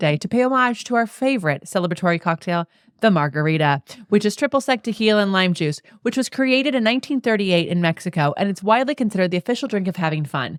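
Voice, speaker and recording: A woman's animated voice at medium pitch races along very fast with very wide pitch swings, in a dry, close sound with no echo on a very clean recording with a silent background. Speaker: podcast host and Pilates teacher. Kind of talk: casual chat.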